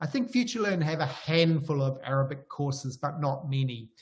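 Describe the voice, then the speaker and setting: With a New Zealand accent, a man speaks at a fairly high pitch in a somewhat breathy voice. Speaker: professor. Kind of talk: lecture. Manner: hesitant.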